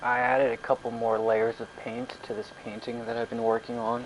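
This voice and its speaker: With noticeable background noise behind him, a man speaks at medium pitch and a moderate pace. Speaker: gaming livestreamer. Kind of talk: casual live stream chat. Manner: slightly slurring and stuttering; casual, rambling pace.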